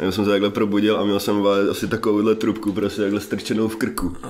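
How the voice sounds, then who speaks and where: At a fairly quick pace, a man talks in a fairly low pitch. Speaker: podcast guest. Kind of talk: interview answer, casual storytelling. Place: home room. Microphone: studio mic.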